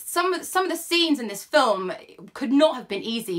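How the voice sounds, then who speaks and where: A woman's high voice with very wide pitch swings, moving at a fairly quick pace against noticeable background noise. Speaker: film reviewer. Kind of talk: casual film review monologue. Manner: fast; animated.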